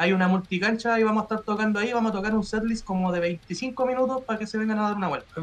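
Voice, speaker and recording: A man talks at a very fast pace with hardly any pauses. His pitch is high, and his intonation is fairly even. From Chile. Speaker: metal band musician; guest. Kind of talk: casual interview chat; interview answer. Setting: live stream video call. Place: home room. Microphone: video call.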